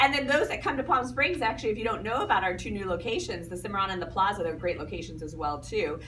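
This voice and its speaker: Amid noticeable background noise and audible room echo, a woman talks at a very fast pace. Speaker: timeshare sales presenter. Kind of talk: sales pitch.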